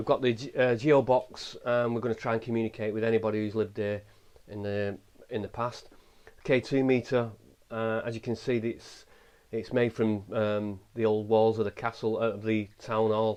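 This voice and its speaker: A man with an English accent, medium pitch, moderate pace and monotone, flat intonation. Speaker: paranormal investigator. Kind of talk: ghost hunt commentary. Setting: inside a small old house. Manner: halting.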